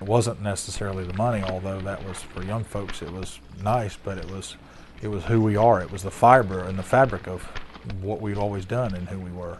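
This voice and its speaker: A man with a fairly low pitch talks fairly quickly and with fairly even intonation, with audible room echo and noticeable background noise. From Florida, Sebastian. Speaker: former net fisherman. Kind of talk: documentary interview.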